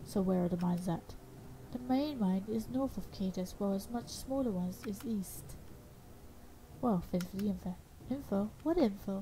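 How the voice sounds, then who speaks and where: Speaking with long, frequent pauses, a woman has a medium pitch, a somewhat breathy delivery and a dark, mellow tone. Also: ordinary pitch variation, moderate pace. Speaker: gaming YouTuber. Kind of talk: let's play gameplay commentary. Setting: home recording at computer. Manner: casual, chatty, self-interrupting.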